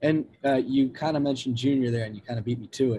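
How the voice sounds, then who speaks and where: A man speaks at a fairly quick pace in a somewhat breathy voice. His intonation is monotone and flat. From US Northeast. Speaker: student podcast host. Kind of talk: casual interview.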